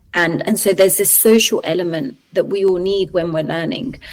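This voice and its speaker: A woman's pitch varies in an ordinary way as she talks at moderate speed. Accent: London. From Colombia, raised in London from childhood. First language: Spanish. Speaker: researcher. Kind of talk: podcast interview. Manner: hesitant, many fillers.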